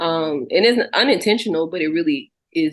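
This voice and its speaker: This woman talks with an American accent. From Texas. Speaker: singer and songwriter. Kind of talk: interview. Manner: casual, many fillers.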